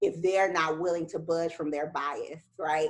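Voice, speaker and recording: This woman talks at a moderate pace in a fairly low pitch. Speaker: professional woman interviewed at summit. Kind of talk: interview. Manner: loud.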